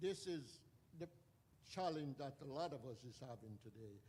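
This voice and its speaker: Somewhat breathy, a man speaks with ordinary pitch variation and long, frequent pauses. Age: 80s+. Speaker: audience member, addiction recovery counselor. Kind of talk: audience comment during Q&A.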